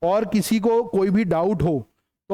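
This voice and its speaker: With a quiet background and a dry, close sound free of echo, a man speaks at a high pitch in a dark, mellow tone with ordinary pitch variation. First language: English-medium background, weak Hindi (speaking Hindi). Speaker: civil services exam teacher. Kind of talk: lecture.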